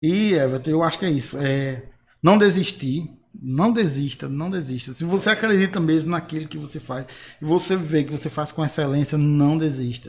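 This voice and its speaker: On a very clean recording with a silent background, a man with a plain, everyday voice talks at a moderate pace at a fairly high pitch with ordinary pitch variation. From Bahia, Brazil (Marizal). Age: 30s. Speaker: singer and graphic designer. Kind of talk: panel discussion.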